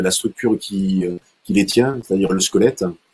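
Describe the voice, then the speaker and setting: The man's intonation stays fairly even as he talks at a moderate rate. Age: 60s. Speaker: martial arts instructor and sports coach. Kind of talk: online talk with slideshow. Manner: halting, many fillers and repetitions.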